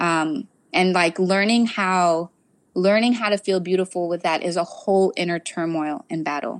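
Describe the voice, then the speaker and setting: A woman with an American accent speaks at a medium pitch with ordinary pitch variation in a very clean recording with a silent background. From US South, South Florida. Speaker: hair care educator. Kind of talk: interview. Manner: animated.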